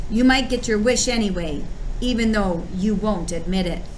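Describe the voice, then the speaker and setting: Growling in a put-on character voice, a woman speaks at a medium pitch and moderate pace over clear background noise. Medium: read story. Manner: growling, scornful.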